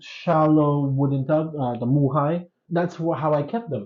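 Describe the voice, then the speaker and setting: A man's somewhat breathy voice moves along at a fairly slow rate. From Philippines. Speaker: goldfish hobbyist. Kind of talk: interview.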